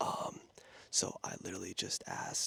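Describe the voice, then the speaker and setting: A man is whispering. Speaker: youtuber giving life advice. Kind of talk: casual q&a chat. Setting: outdoors on a patio at night. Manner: quiet, hushed.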